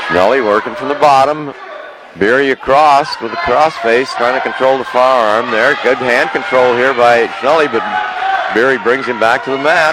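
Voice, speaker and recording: There is noticeable background noise behind this man. His tone is energetic, at medium pitch with ordinary pitch variation. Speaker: wrestling play-by-play announcer. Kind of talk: live radio play-by-play commentary on a wrestling match. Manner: rapid-fire, breathless call of each move, with stumbles and self-corrections; energetic, repeating names and urging moves as the action unfolds.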